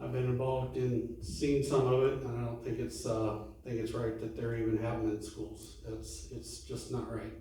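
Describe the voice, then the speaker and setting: A man with an American accent, hardly any pauses, audible room echo and noticeable background noise. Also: moderate pace. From California. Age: 70s. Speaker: city council candidate. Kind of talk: candidate forum speech. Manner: halting, many fillers.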